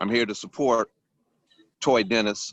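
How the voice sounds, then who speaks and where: A man with an American accent speaks at a moderate pace in an ordinary speaking voice with ordinary pitch variation. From Ypsilanti, Michigan, US Midwest. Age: 60s. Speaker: public commenter. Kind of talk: public comment at council meeting.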